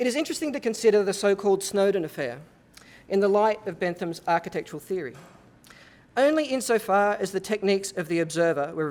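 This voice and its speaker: A man with an Australian accent, high in pitch, at a very fast pace with lively intonation, on a very clean recording with a silent background. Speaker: architecture professor. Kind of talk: lecture. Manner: formal.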